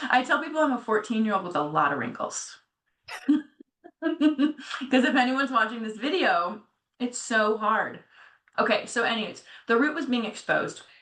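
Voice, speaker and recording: At a moderate pace, a woman speaks with a high pitch and lively intonation. Her tone is bright and sharp. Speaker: podcast co-host. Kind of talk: casual chat.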